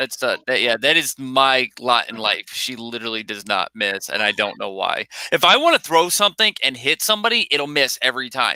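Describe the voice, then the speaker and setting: Loud and bright with a sharp tone, a man speaks at a fairly quick pace with very wide pitch swings in a dry, close sound with no echo. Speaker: live stream co-host. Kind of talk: casual chat. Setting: live stream. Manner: animated.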